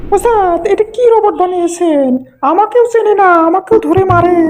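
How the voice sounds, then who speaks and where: A put-on character voice at an extremely high pitch speaks at a moderate pace. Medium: dub. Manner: fearful, whiny.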